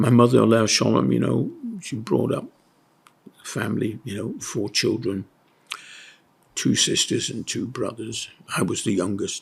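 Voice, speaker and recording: A man speaks with a Yorkshire accent at a moderate pace. He leaves long, frequent pauses. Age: 80s+. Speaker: retired school headmaster. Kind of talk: interview recollection. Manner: halting, with many fillers.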